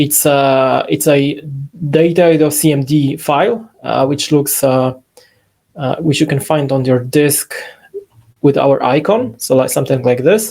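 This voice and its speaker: In a Polish accent, a dark, mellow voice moves at a fairly slow pace over a quiet background. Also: man, fairly high pitch for a man, ordinary pitch variation. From Poland. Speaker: software company CEO; presenter. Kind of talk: webinar software demo. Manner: halting, many fillers.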